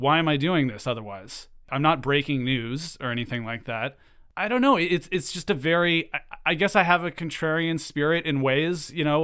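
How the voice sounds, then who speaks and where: Using an unremarkable speaking voice, a man speaks at a moderate pace with a fairly high pitch. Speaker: podcast creator. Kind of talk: interview.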